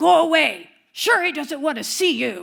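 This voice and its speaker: Putting on a character voice, a woman speaks at a moderate pace in a high, growling voice with very wide pitch swings. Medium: stage play. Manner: loud, gruff.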